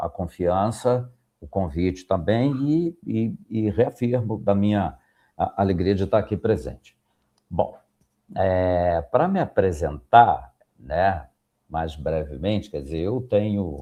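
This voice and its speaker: A man's fairly low, dark and mellow voice moves with lively intonation. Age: 60s. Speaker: professor. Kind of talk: podcast interview. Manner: halting, many fillers.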